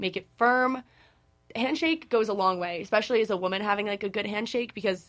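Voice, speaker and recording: Heard on a very clean recording with a silent background, a plain, everyday voice moves at a fairly quick pace with ordinary pitch variation. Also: woman. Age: 20s. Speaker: podcast co-host. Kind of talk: casual chat.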